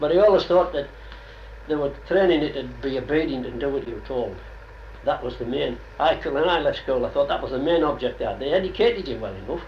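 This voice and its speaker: With a Cumbrian accent, a man talks at a very fast pace amid audible room echo and noticeable background noise. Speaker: oral history interviewee. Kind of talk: oral history interview.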